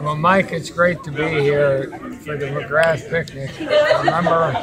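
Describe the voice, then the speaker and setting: Quiet and fairly slow, a man speaks at a fairly high pitch in a monotone, flat intonation, with noticeable background noise and audible room echo. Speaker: family member. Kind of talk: short speech at family gathering. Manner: too quiet.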